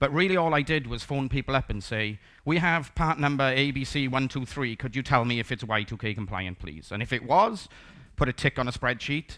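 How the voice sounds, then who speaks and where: A man with a Welsh accent, bright and sharp in tone, medium in pitch, with ordinary pitch variation at a fairly quick pace, on a very clean recording with a silent background. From South Wales, Port Talbot. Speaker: conference speaker, software developer. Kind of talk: conference talk. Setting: stage with audience. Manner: casual, conversational.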